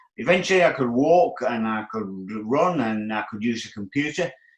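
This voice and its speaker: Lively intonation at a fairly quick pace, with music in the background. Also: man. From Australia. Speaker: bodybuilder. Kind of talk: interview answer.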